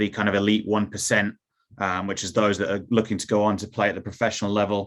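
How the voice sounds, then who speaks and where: This man's voice sits fairly low. He talks in an American accent. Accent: little trace of Newcastle accent left. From Newcastle, England, then Cincinnati, US from teens. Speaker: youth football academy director. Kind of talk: presentation. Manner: hesitant, many fillers.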